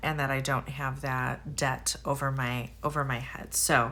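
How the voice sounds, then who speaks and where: Speaking at a fairly slow pace, a woman has a bright, sharp tone and ordinary pitch variation. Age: 50s. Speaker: budgeting vlogger. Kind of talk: casual vlog monologue. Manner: halting, many fillers.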